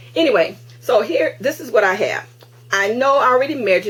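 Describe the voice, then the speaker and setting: Noticeable background noise surrounds a woman who talks at a fairly quick pace. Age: 60s. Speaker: crafting video host. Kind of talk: tutorial. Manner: halting; casual.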